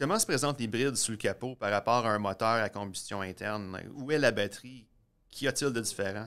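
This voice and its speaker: Using an ordinary speaking voice, a man talks at a fairly quick pace and medium pitch with ordinary pitch variation, on a very clean recording with a silent background. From eastern Ontario. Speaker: science video producer and host. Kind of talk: casual explainer chat. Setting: garage.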